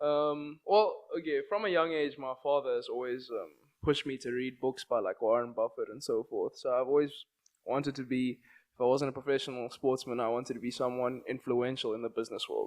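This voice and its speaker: A man with a South African accent against a quiet background. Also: medium pitch for a man, ordinary pitch variation, fairly quick pace. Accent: South African, unchanged. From South Africa, Johannesburg. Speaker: entrepreneur and investor. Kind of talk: interview. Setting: studio.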